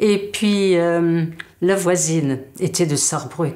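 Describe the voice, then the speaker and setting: A woman speaks at a fairly low pitch. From Moselle, Lorraine (Alsatian family). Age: 70s. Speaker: linguist and dialect teacher. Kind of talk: interview, personal account. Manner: halting, many hesitations.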